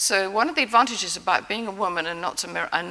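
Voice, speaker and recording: A woman talks at a very fast pace with an English accent and ordinary pitch variation. Noticeable background noise is present. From England. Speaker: prize-winning immunologist. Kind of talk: award acceptance speech. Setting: stage with audience.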